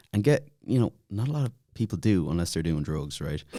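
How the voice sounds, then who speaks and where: A man in a Dublin accent talks at a fairly quick pace, his pitch fairly low. His tone is dark and mellow, and his pitch swings very widely. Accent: Dublin Irish. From Ireland, Dublin (Glasnevin). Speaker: podcast guest, YouTuber. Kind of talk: casual chat.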